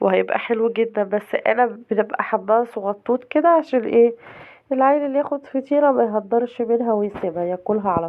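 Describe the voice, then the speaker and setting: With an Egyptian accent, a woman talks at a moderate pace in a fairly high pitch with ordinary pitch variation. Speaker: cooking channel host. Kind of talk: cooking tutorial. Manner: casual, chatty.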